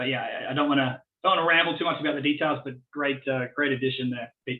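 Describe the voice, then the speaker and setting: Talking very fast at a fairly high pitch, a man keeps a monotone, flat intonation. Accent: Australian. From Australia, born in Tasmania. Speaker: business innovation consultant. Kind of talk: Q&A after presentation.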